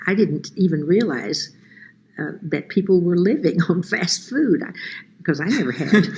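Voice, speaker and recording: A woman's fairly low voice, lively intonation and moderate pace, over noticeable background noise. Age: 80s+. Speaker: retired piano teacher. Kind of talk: testimony.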